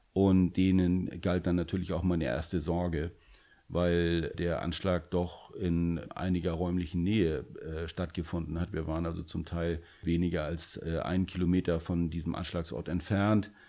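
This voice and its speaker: A man with a very deep, low pitch and a dark, mellow tone speaks at a moderate pace in a monotone, flat intonation. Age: 50s. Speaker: police officer. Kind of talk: interview.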